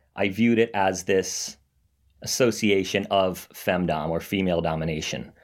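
In a fairly low pitch with ordinary variation, a man speaks on a very clean recording with a silent background, a plain, everyday voice. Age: 20s. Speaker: finance worker and recovering financial domination addict. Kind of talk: interview.

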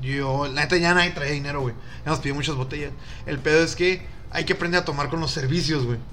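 Over noticeable background noise and audible room echo, a man with a fairly high pitch speaks at a very fast pace. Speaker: podcast co-host. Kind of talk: casual chat. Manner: animated.

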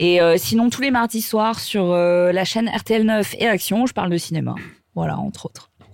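This woman has an ordinary speaking voice at a medium pitch. She talks at a fairly slow pace. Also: ordinary pitch variation. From southern France. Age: 30s. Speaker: journalist and TV presenter. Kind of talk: casual chat.

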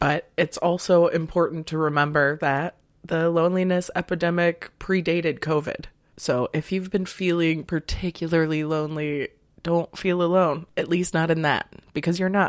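In a very clean recording with a silent background, a woman speaks at a moderate pace in a monotone, flat intonation. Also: fairly low pitch for a woman. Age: 30s. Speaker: podcast host. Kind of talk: casual solo monologue.

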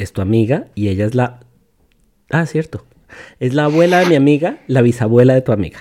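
A man speaks at medium pitch with a dark, mellow tone and lively intonation. His pace is fairly quick, broken by long, frequent pauses. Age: 40s. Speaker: podcast host and father. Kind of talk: casual educational chat with his child.

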